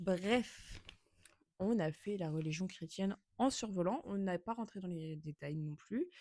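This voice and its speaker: A woman talks at a very slow pace. Her pitch sits in the medium range, with ordinary variation. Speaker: podcaster. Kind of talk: casual chat. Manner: halting.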